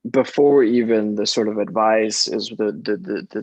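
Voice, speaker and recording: The sound is dry and close with no echo as a man talks. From US, Mexican immigrant family. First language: Spanish. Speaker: casting director. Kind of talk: panel discussion. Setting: video call.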